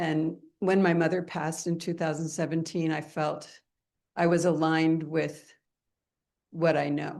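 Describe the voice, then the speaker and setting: A woman speaks fairly slowly in a very deep, low voice with vocal fry. Her intonation is monotone and flat, broken by long, frequent pauses. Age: 70s. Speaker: audience member. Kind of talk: audience question.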